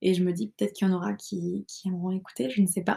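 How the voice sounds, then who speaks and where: Recorded very cleanly over a silent background, a woman speaks in a somewhat breathy voice with a dark, mellow tone. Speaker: podcaster. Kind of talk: casual monologue. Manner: fast, rambling when nervous.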